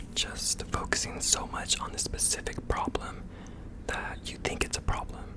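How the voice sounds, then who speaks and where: Noticeable background noise fills the recording. Beneath it, someone speaks in a whisper. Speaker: ASMR creator. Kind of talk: ASMR positive affirmations. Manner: whispered.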